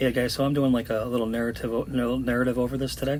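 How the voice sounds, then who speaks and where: Audible room echo surrounds the speech. The voice carries vocal fry and moves at a fairly quick pace. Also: man. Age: 50s. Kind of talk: voice-over commentary.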